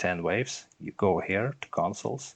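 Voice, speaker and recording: A man with a non-native accent, speaking at a fairly slow pace. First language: not English. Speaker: gaming content creator. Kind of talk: gameplay tutorial. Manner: halting, many fillers.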